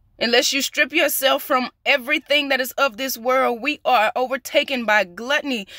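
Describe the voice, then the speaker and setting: Raising and projecting her high-pitched voice, a woman speaks at a moderate pace in a bright, sharp tone, with a dry sound, no echo and a quiet background. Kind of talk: prophetic sermon. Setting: outdoors. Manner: emphatic, repetitive. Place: car. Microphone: phone near.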